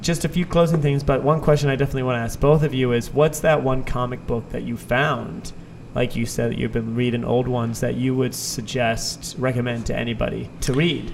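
With an American accent, a man of medium pitch talks at a fairly quick pace with hardly any pauses and fairly even intonation, over noticeable background noise. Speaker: podcast host. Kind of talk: casual interview chat.

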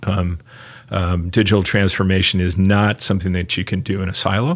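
A man uses an ordinary speaking voice with fairly even intonation. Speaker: marketing executive. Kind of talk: casual chat. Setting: office.

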